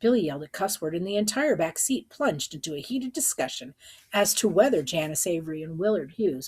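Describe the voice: Lively intonation over plain reading aloud.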